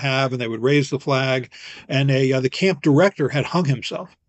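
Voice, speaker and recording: This man's voice sits fairly high. He speaks very fast. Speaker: physician, vaccine expert. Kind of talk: interview.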